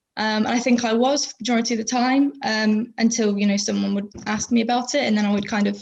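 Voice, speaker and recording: A woman with a southwest English accent speaks at a very fast pace, somewhat breathy and fairly high-pitched. Her intonation stays fairly even. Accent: south-west English. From England, Plymouth (south-west). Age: 20s. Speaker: podcast guest. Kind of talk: casual interview chat. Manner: hesitant, many fillers.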